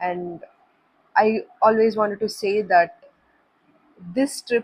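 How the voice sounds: Speaking slowly, a woman keeps a medium pitch and fairly even intonation, with a slightly husky edge.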